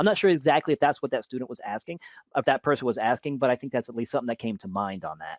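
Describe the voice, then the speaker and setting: Speaking very fast at a medium pitch, this man's voice makes very wide pitch swings. His loudness also rises and falls in big swings. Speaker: teacher. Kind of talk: webinar Q&A. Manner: halting.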